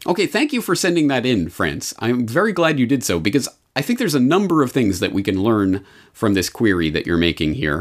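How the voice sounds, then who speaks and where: A medium-pitched male voice with vocal fry, a fairly quick pace and very wide pitch swings, on a very clean recording with a silent background. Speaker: podcast host. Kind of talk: scripted-style monologue commentary on a podcast.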